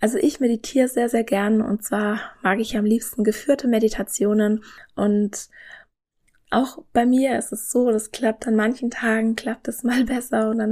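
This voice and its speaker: A woman talks in a calm, soothing tone with a fairly high pitch and a somewhat breathy quality. Her pace is moderate and her intonation is monotone and flat, on a very clean recording with a silent background. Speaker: nutrition scientist and podcast host. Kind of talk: podcast monologue, informative.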